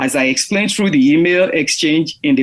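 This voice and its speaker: A man with an African accent and a fairly high pitch speaks with ordinary pitch variation. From Nigeria. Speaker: podcast host. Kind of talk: interview.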